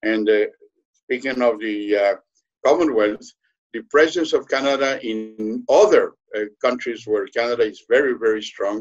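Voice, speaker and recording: Music plays in the background as a man speaks. He has a Spanish accent and a moderate pace. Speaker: diplomat. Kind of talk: webinar question. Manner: halting, many fillers.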